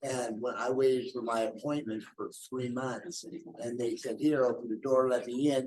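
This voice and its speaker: A man talks at a fairly quick pace in an unremarkable speaking voice. His pitch sits in the medium range. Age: 60s. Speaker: audience member at a public meeting. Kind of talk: public comment at a town hall. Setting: public library meeting room.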